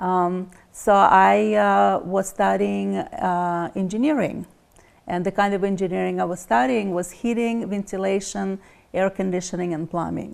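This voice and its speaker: A woman speaks in a Russian accent at a fairly slow pace. The recording is very clean with a silent background. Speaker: energy healer. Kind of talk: interview.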